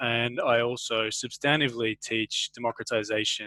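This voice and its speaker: A man with an Australian accent has a bright, sharp tone at a medium pitch, fairly even in intonation, recorded dry and close with no echo. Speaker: university lecturer. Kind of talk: academic webinar talk. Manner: halting.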